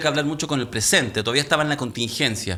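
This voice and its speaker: A man speaks with a bright, sharp tone. His pitch variation is ordinary. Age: 50s. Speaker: talk show host. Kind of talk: panel discussion.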